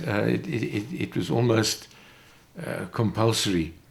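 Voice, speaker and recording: There's vocal fry in this voice. A man speaks at a medium pitch. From South Africa, Johannesburg. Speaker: retired motor racing team manager. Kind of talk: interview. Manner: halting, many fillers.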